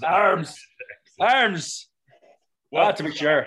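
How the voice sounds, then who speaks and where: A raspy, put-on character voice at a middle pitch performs in an Irish accent. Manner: exaggerated, stereotyped.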